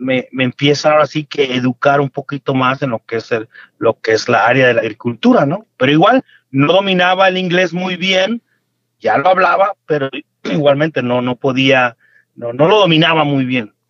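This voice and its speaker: The pace is moderate. The intonation is lively. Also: man, fairly high pitch for a man. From Mexico, Michoacán. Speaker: farmer and entrepreneur. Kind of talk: interview. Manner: halting, repeats words.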